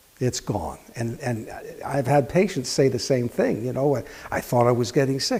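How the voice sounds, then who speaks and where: A man's medium-pitched voice moves at a moderate pace with ordinary pitch variation while noticeable background noise carries on. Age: 60s. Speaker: health practitioner giving a product testimonial. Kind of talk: testimony.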